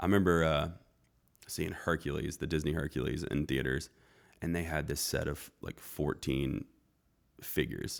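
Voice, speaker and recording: With an American accent, a man speaks in a very deep, low voice at a moderate pace, using a relaxed tone, vocal fry, fairly even intonation and long, frequent pauses. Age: 30s. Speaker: chef and restaurant owner. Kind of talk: casual chat.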